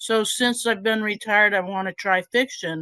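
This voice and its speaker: A woman speaks at a moderate pace in an unremarkable speaking voice with fairly high pitch. The sound is dry and close, with no echo. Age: 60s. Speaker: retired scientist, audience member asking question. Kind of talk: Q&A comment at meeting.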